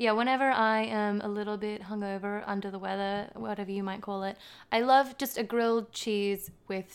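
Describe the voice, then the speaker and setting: A woman speaks at a moderate pace with an Australian accent. Her pitch sits in the middle range. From Western Sydney, Australia. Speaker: podcast guest. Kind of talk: casual chat.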